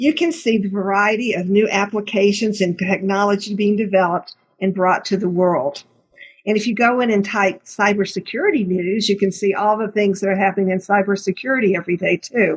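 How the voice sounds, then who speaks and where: A woman's medium-pitched, somewhat breathy voice with an American accent, a fairly quick pace and ordinary pitch variation. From US South, Middle Georgia. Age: 70s. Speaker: retired computer programmer. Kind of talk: talk to students.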